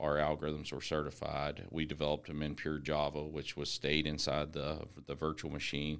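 A man's very deep, low voice with an American accent. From West Virginia (Eastern Panhandle). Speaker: software company co-founder. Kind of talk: casual interview chat.

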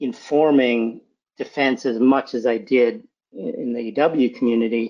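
Speaking at a fairly slow pace with lively intonation, this is a plain, everyday voice with an American accent. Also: man. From Massachusetts, near Boston. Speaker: cybersecurity executive. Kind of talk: interview.

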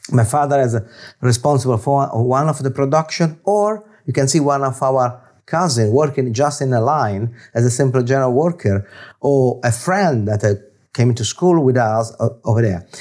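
A man with an Italian accent speaks at a moderate pace, his medium pitch showing ordinary variation. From Italy, Florence. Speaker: business executive. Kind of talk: interview. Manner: halting.

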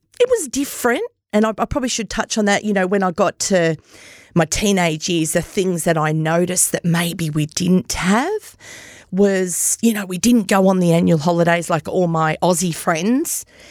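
A woman with an Australian accent, medium pitch and ordinary pitch variation, at a moderate pace, in a dry, close sound with no echo. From Australia, Myrtleford, Victoria. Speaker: podcast host appearing as guest. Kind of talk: personal testimony interview.

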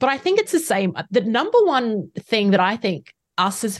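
A woman speaks with an Australian accent. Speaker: facilitator and trainer, consultant. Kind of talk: interview, casual professional chat.

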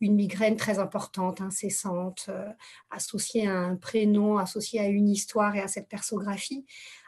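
Speaking at a moderate pace, a woman uses a monotone, flat intonation at medium pitch, her voice somewhat breathy. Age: 40s. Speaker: therapist. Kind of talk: casual chat. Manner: halting.

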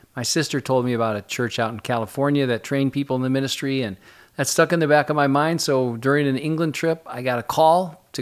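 In a very clean recording with a silent background, a man with an American accent talks at a very fast pace, fairly high in pitch with ordinary pitch variation. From Michigan. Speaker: pastor. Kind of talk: interview. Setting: studio.

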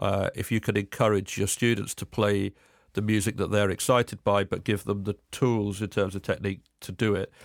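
The speaker uses a southern English accent, talking at a fairly quick pace with monotone, flat intonation. The sound is dry and close with no echo, on a very clean recording with a silent background. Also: man, fairly low pitch for a man. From England, Cambridge. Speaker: folk musician and composer. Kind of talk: casual interview chat.

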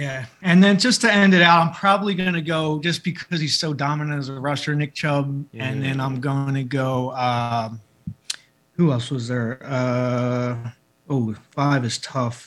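A man with a Philadelphia accent, fairly high pitch and fairly slow pace. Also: ordinary pitch variation. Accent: Philadelphia American. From Philadelphia, US. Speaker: celebrity barber. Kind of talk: casual chat.

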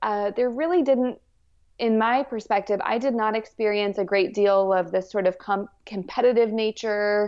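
This woman speaks in a Southwestern US accent at a fairly high pitch. Her pace is fairly slow. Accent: American (Southwest). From New Mexico, US. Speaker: parenting coach. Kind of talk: interview conversation.

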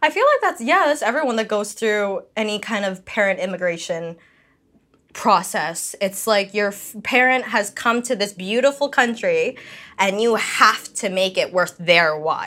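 Fairly high in pitch, a woman with a Canadian accent uses an ordinary speaking voice, lively intonation and a moderate pace. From Canada. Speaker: podcast guest. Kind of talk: casual chat.

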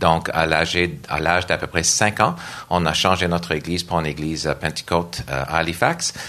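A man's very deep, low voice in an English accent, with monotone, flat intonation at a moderate pace. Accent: English-speaker accent in French. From Nova Scotia, Canada. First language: English (speaking French). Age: 50s. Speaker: church worship director and organist. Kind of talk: panel discussion. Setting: stage with audience.

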